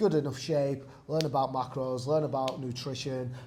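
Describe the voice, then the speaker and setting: The man has a dark, mellow tone with a somewhat breathy edge. His pitch is medium. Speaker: personal trainer. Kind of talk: casual talk to camera.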